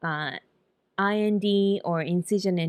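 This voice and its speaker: A woman with a Japanese accent and fairly even intonation, in a dry, close sound with no echo on a very clean recording with a silent background. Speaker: nurse practitioner. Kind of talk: casual talk to camera.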